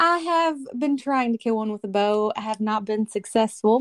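A woman at a fairly slow pace with very wide pitch swings, the sound dry and close with no echo. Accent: Kentucky. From Kentucky. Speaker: hunter and social media influencer. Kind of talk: casual interview chat. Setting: phone call.

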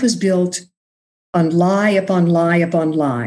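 Somewhat breathy and fairly low-pitched, a woman speaks with an American accent. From Texas (Austin, rural area). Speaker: podcast host, mental health peer advocate. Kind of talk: casual interview chat with personal testimony.

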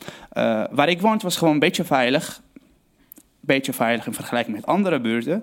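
Speaking fairly quickly in a Syrian accent, a man with a fairly high pitch makes very wide pitch swings. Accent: Syrian Arabic-accented Dutch. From Syria, Aleppo. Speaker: storyteller telling his own story. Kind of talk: personal storytelling on stage. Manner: halting, searching for words.

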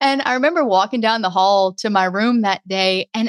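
Recorded with a dry, close sound and no echo, a woman with a Southern US accent speaks at a fairly high pitch with lively intonation. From Louisiana, near New Orleans. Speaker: podcast consultant. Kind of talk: casual interview.

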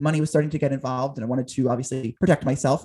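With an American accent, a man speaks at a fairly high pitch and sounds somewhat breathy. The background is quiet. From southern New Jersey, near Philadelphia. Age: 20s. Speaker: talk show host and producer. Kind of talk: interview conversation.

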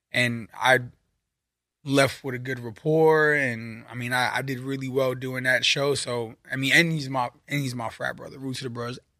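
In a New York accent, a man at medium pitch speaks at a moderate pace with monotone, flat intonation and a bright, sharp tone, in a very clean recording with a silent background. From Brooklyn, New York. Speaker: drummer and music producer. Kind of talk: casual chat. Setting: studio.

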